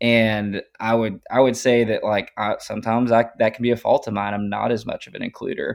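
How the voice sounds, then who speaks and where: Talking at a fairly quick pace with hardly any pauses, a man comes through with a dry, close sound with no echo. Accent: Texan. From East Texas, Tyler. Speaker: oil and gas and ranching worker. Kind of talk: casual interview.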